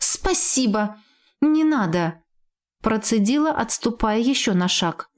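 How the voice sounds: Quiet background, natural reading voice, lively intonation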